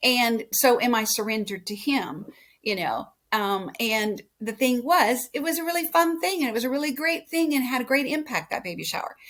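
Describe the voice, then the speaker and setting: A woman speaks in a high pitch with a West Coast accent. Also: lively intonation, moderate pace. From California. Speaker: podcast guest. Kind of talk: casual chat.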